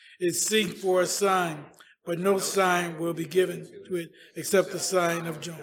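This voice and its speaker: This man speaks in a high voice at a fairly slow pace. His intonation is monotone and flat. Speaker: church member reading scripture and praying. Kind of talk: scripture reading and prayer. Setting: church.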